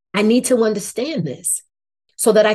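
Somewhat breathy and dark, mellow in tone, a woman's fairly high voice moves at a moderate pace. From New Jersey, Irvington near Newark. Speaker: education advocacy CEO, former science teacher. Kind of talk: interview.

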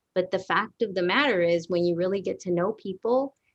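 A woman with an American accent talks in a normal speaking voice at a medium pitch and moderate pace, with ordinary pitch variation and a dry, close sound with no echo. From Dallas area, Texas (Garland). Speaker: education consultant, former bilingual teacher. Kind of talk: casual interview chat.

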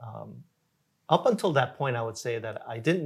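With an American accent and vocal fry, a man talks with lively intonation in a very clean recording with a silent background. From Korea, then Jamaica, Queens, New York from age 11. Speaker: nonprofit founder and executive director. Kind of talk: interview, personal life story. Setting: filmed interview.

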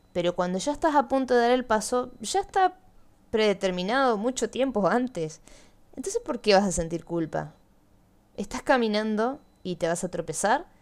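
Lively intonation at a moderate pace. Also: woman. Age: 20s. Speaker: podcast host. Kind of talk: personal monologue.

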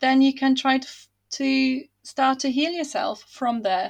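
A woman with a non-native accent speaks at a fairly slow pace in a high, warm voice. Her intonation is fairly even. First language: not English. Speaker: fantasy author. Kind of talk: casual interview. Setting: remote call across time zones. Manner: warm, laughs often.

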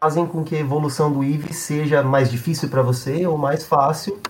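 A man talks at a fairly high pitch and a moderate pace. There is noticeable background noise. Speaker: games writer. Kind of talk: casual chat.

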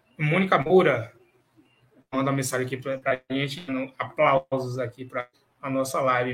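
Speaking at a moderate pace, a man uses a fairly high pitch with fairly even intonation. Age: 30s. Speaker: sports media show host. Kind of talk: live show discussion.

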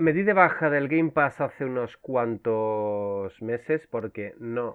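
A man's voice of medium pitch. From Canary Islands (Las Palmas). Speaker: video game publisher co-founder and marketing director. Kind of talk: casual interview chat.

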